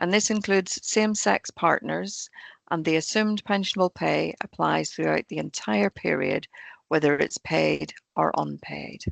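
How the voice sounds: A woman with a low, croaky voice and vocal fry speaks at a fairly slow pace with ordinary pitch variation, in a dry, close sound with no echo.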